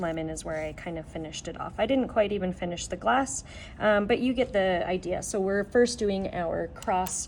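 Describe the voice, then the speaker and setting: A normal speaking voice from a woman, moderate in pace, medium-pitched, with ordinary pitch variation. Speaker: art teacher. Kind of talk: tutorial.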